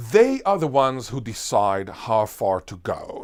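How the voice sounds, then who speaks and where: An animated tone with very wide pitch swings in a very clean recording with a silent background. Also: man. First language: Hebrew (Israeli). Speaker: linguist. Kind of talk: interview.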